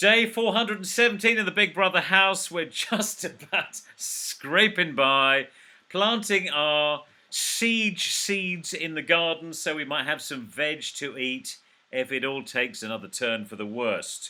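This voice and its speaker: A man with a British accent, a high pitch and a bright, sharp tone moves through very wide pitch swings at a fairly slow pace. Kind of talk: casual video call conversation, host.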